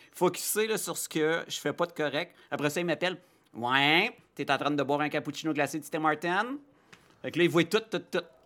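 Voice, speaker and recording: Recorded very cleanly against a silent background, a man with an ordinary speaking voice talks at a moderate pace with a fairly high pitch and ordinary pitch variation. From Quebec, Abitibi (Rouyn-Noranda area). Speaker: children's TV host and psychoeducator. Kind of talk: casual interview.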